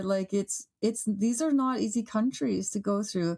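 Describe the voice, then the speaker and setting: This woman has a plain, everyday voice with a Canadian accent, medium pitch and lively intonation at a moderate pace. The recording is very clean, with a silent background. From Canada, Toronto. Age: 50s. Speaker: author and travel radio host. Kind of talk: casual interview chat. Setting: podcast.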